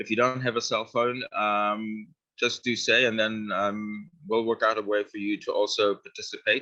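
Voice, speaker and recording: A man talking at a moderate pace, with hardly any pauses. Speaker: workshop presenter, film company director. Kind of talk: workshop tutorial. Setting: in-person workshop streamed on video call. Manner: hesitant, many fillers.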